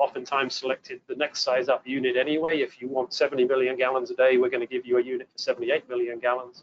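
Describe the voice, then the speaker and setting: A man with an English accent, very fast and monotone with flat intonation. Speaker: water treatment engineer presenting a webinar. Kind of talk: technical webinar presentation. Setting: webinar broadcast.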